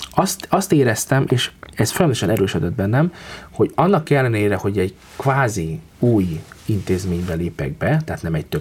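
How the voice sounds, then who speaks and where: Over noticeable background noise, a man talks at a moderate pace in a very deep, low voice whose pitch swings very widely. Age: 30s. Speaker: concert pianist. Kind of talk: interview.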